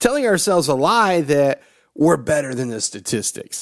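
With a Southern US accent, a man talks at a moderate pace, his fairly high voice making very wide pitch swings. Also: very clean recording, silent background. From US South (Georgia, Tennessee). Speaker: motivational podcast host. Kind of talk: motivational monologue.

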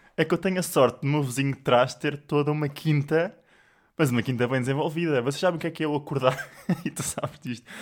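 Speaking at a very fast pace with fairly even intonation, a man comes through on a very clean recording against a silent background. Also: fairly high pitch for a man. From Portugal, Sintra area. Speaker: podcast co-host. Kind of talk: casual chat.

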